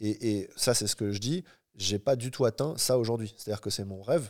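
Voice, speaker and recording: Dark, mellow male voice with fairly even intonation on a very clean recording against a silent background. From Paris region, France. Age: 30s. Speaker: entrepreneur and traveler. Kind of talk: casual interview. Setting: home cinema room.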